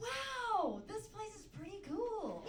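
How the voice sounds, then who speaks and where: A woman performs a put-on character voice at an extremely high pitch. Clear background noise and a slight echo surround her. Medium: stage play. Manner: gushing.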